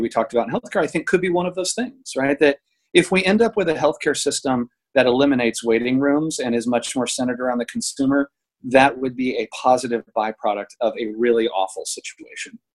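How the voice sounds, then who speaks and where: With a normal speaking voice of medium pitch, a man talks at a fairly quick pace with lively intonation in a dry, close sound with no echo. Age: 50s. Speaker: healthcare PR executive. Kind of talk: interview.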